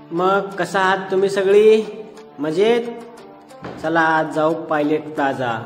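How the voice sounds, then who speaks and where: With music in the background, a man talks at a high pitch with ordinary pitch variation. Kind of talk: comedic gameplay commentary.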